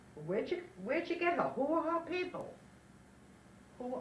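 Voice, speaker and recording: Fairly quick speech with very wide pitch swings over noticeable background noise. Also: woman. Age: 80s+. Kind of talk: interview answer. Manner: storytelling, chatty.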